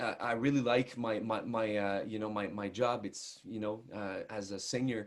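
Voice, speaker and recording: A man with a strong Quebec accent and fairly even intonation on a very clean recording with a silent background. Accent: thick French Canadian. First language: French. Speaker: country singer. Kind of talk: interview. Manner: halting, many repetitions and fillers.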